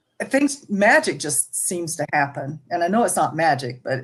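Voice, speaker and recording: With an American accent, a woman talks at a moderate pace with very wide pitch swings. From US South, Jackson, Mississippi. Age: 70s. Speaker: ministry guest sharing life story. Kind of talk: testimony.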